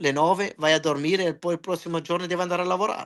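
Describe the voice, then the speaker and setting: A man is speaking. The background is quiet. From Germany, Italian parents from Calabria. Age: 40s. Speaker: wrestling ring announcer. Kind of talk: casual interview chat. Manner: halting, with self-corrections.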